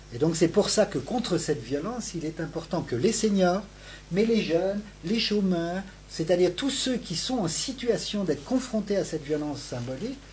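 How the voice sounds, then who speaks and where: High-pitched male speech, moderately paced, with lively intonation. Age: 60s. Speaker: sociology professor. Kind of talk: interview. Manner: halting, with many repetitions and hesitations.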